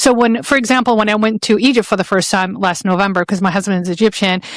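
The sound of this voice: With an Arabic accent, a woman at medium pitch speaks at a fast pace with fairly even intonation in a dry, close sound with no echo.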